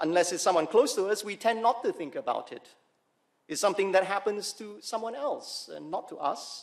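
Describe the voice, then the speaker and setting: Over a quiet background, a man speaks at a fairly quick pace. His pitch is high, with ordinary pitch variation. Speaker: preacher. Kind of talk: sermon. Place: church. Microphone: podium.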